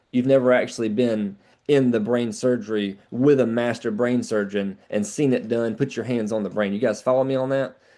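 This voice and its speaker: Over a quiet background, a man with a dark, mellow tone speaks at a medium pitch with fairly even intonation and hardly any pauses. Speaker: sales trainer. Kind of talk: training call. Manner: fast.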